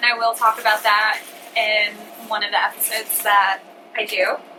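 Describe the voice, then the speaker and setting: A woman with a fairly high voice and normal pitch movement is heard against noticeable background noise. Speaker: vlogger. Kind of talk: casual chat. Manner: animated.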